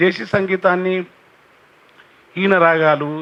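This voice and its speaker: Noticeable background noise is present. A man speaks at a high pitch with ordinary pitch variation. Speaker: poet and folk singer. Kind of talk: public speech on cultural heritage.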